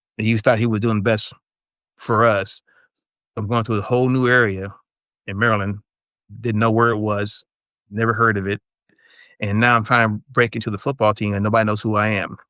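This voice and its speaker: His fairly low voice held in a flat monotone, a man talks fairly quickly but stops often for long pauses. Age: 60s. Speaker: podcast panelist, former military brat. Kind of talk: casual chat. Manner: halting, repeats words.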